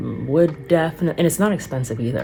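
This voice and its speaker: A woman speaks at a fairly quick pace with a very deep, low pitch and lively intonation. Music plays in the background. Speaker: singer and vlogger. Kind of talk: casual vlog monologue. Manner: casual, filler-heavy.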